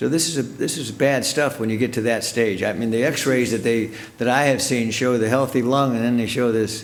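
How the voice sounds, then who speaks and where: Audible room echo carries a man's medium-pitched voice. He talks at a fairly quick pace with fairly even intonation and hardly any pauses. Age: 70s. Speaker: local show host. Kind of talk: interview. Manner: repetitive, stumbling.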